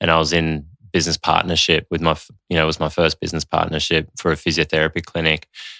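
A man with an Australian accent speaks at a very fast pace in a very deep, low pitch, his tone bright and sharp but his intonation monotone and flat. The recording is very clean with a silent background and a dry, close sound with no echo. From Australia, Sydney. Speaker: developmental coach and meditation teacher. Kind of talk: casual chat.

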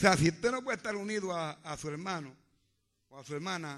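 Over a quiet background, a man speaks with an animated tone at a high pitch. His pace is fairly quick. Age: old. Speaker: pastor. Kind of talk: sermon. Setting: church.

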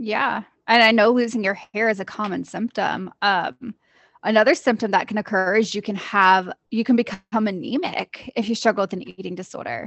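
A woman talks in a normal speaking voice at a fairly high pitch. She keeps a moderate pace with ordinary pitch variation. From US Midwest, Jasper, Indiana. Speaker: licensed therapist, podcast co-host. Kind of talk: educational chat; reading aloud.

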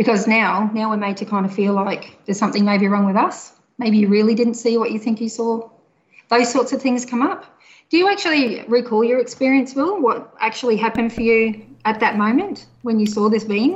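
Somewhat breathy and in an Australian accent, the voice moves at a fairly quick pace with ordinary pitch variation. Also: woman, fairly high pitch for a woman. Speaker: mental health social worker.

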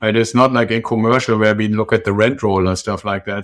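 A man with a German accent. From Germany. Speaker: real estate investor. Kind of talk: interview. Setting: remote call.

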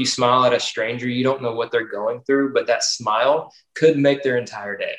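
A man talks at a fairly quick pace in a medium pitch. It's a normal speaking voice. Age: 30s. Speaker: baseball coach. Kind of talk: casual chat.

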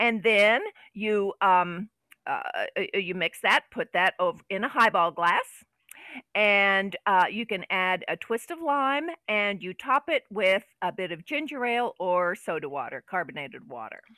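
A woman with an American accent speaks fairly slowly at a medium pitch, her intonation lively. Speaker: podcast co-host. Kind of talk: casual chat with drinking and banter.

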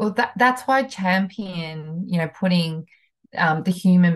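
Somewhat breathy, a woman with a fairly low pitch speaks at a fairly slow pace against a quiet background. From New Zealand, country town. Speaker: HR consultant. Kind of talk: interview.

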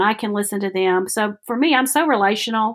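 A woman talks with a Southern US accent. The recording is very clean and the background silent. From Alabama, US South. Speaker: workshop facilitator. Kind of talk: casual interview.

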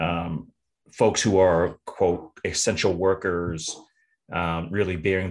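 A man speaks with an American accent and a very deep, low pitch. He goes at a fairly slow pace. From US South, Tennessee. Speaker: nonprofit executive director and army veteran. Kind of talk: casual interview conversation. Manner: halting, frequent repetitions and fillers.

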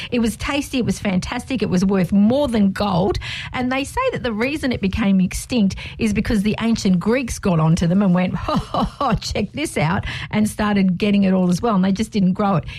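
Delivery is fairly quick, with ordinary pitch variation and very even loudness. Noticeable background noise sits behind the voice. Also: woman, medium pitch for a woman. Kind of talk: radio dj patter. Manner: upbeat, cheerful, bantering; quick, friendly, teasing co-host.

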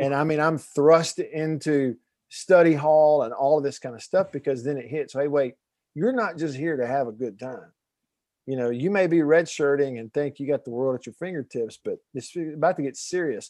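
This man has a Southern US accent and a fairly high pitch, with ordinary pitch variation. He talks at a moderate pace over a quiet background. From Alabama, US South. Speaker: documentary filmmaker and former radio host. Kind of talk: podcast interview.

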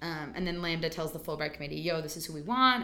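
Speaking at a very fast pace, a woman with a fairly low pitch has a bright, sharp tone and vocal fry. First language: not English. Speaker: stage actor. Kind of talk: casual interview.

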